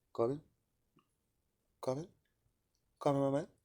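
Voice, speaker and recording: A man's dark, mellow voice on a very clean recording with a silent background. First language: not English. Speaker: vlogger. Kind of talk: casual monologue. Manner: casual, swearing, halting with repetitions.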